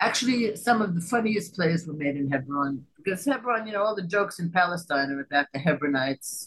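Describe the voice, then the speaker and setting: A woman with an American accent speaks at a fairly quick pace with hardly any pauses. Her fairly low pitch takes very wide swings. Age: 70s. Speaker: playwright and theatre director. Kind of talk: interview.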